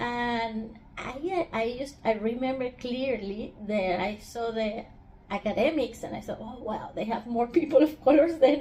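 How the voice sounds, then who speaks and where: A woman speaks at a fairly slow pace with a strong Spanish accent. Her high-pitched voice has big swings in loudness. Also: ordinary pitch variation. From Venezuela. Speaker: researcher. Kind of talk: interview.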